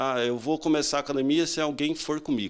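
Here a man talks. The variation in his pitch is ordinary. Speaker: interviewee. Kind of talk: interview answer. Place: home room. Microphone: handheld.

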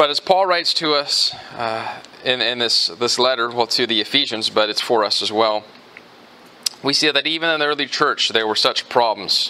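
Here a man speaks at a moderate pace. His pitch varies in an ordinary way. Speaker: pastor. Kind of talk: sermon. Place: church.

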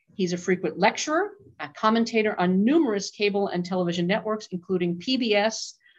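The background stays quiet. A woman talks at a moderate speed, her pitch shifting in an ordinary way. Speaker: auction house department head and event host. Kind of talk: webinar introduction and Q&A moderation. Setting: video call. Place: office. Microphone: video call.

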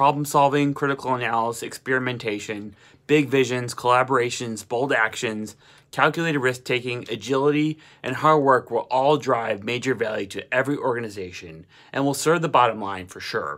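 A man talks at a fairly quick pace with a medium pitch and ordinary pitch variation. The background is quiet. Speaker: motivational vlogger. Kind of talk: motivational pep talk to camera. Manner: energetic, urgent, exhortatory; rhythmic, emphatic, repeating slogans. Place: home room. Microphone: phone near.

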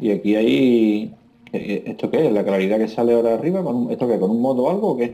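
A man's dark, mellow voice moves at a fairly quick pace with lively intonation. His loudness stays very even throughout. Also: medium pitch for a man. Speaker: gaming YouTuber's father. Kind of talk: gameplay commentary.

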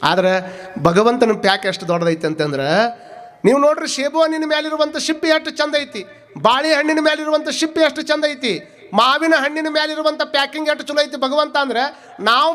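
An animated man with a North Karnataka accent and an extremely high pitch for a man, amid noticeable background noise. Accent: north Karnataka Kannada dialect. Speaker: spiritual preacher. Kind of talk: sermon.

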